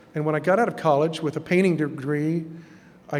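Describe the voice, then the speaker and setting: A man with a fairly high pitch, fairly even intonation and a fairly quick pace, set in audible room echo. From Texas. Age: 60s. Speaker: artist. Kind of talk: lecture.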